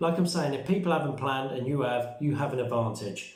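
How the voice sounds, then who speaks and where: A man with a British accent speaks with ordinary pitch variation, amid audible room echo and noticeable background noise. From UK. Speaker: survival and prepping vlogger. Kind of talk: casual vlog talk. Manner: fast; hesitant with fillers.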